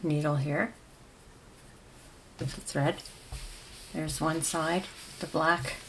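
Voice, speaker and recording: The intonation stays fairly even throughout. There is noticeable background noise. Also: woman. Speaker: crochet tutorial creator. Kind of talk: tutorial. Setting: at home. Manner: soft-spoken.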